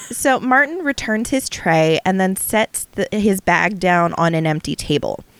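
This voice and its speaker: With lively intonation and very even loudness, a woman talks at a fairly slow pace and a medium pitch in a dry, close sound with no echo. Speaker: podcast host. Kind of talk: casual conversational storytelling. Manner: dry, matter-of-fact.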